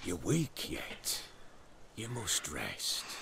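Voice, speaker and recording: Clear background noise accompanies a man doing a put-on character voice at a medium pitch. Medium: video game. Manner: gruff, clipped.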